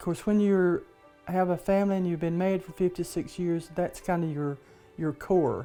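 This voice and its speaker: With music playing behind her, a woman talks at a moderate pace in a fairly low voice. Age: 80s. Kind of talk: documentary interview answer.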